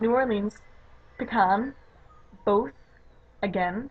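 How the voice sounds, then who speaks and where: A woman's medium-pitched voice comes through over clearly audible background noise. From Chicago suburbs, Illinois, US Midwest. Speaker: YouTuber. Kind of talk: accent tag vlog, reading word list. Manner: chatty, hesitant with fillers.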